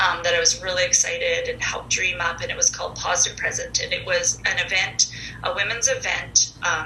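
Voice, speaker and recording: Noticeable noise runs through the background. Over it, a woman talks fairly quickly. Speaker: mental health advocate and podcast guest. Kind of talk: casual interview, personal testimony. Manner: loud.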